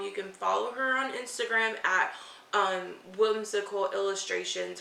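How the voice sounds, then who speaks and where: The speaker has an animated tone and talks at a moderate pace. There is audible room echo along with noticeable background noise. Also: woman. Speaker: book youtuber. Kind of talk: casual unboxing vlog.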